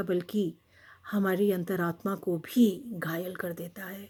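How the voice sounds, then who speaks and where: A woman's somewhat breathy, medium-pitched voice with fairly even intonation, in a very clean recording with a silent background. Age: 60s. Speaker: retired professor, poet and writer. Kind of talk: talk to camera on a social issue.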